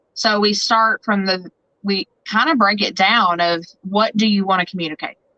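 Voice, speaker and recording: Here a woman speaks with an American accent at a moderate pace. Her pitch is medium, with ordinary variation. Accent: twang. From Southern Indiana. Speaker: photographer and branding business owner. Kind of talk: podcast interview.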